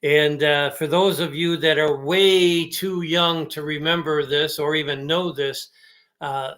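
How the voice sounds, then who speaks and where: A man with an American accent speaks in a fairly high pitch. His pace is fairly slow and his intonation fairly even. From Chicago area, Illinois. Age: 60s. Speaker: sports podcast host. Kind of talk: casual sports podcast chat. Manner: hesitant, many fillers.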